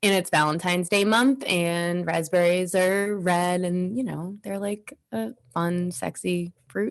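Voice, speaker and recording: Her voice sits at a fairly low pitch with ordinary variation. The woman, in an American accent, speaks at a fairly slow pace. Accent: Boston accent, thick at times. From suburb of Boston, Massachusetts. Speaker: podcast co-host. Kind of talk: casual chat. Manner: animated.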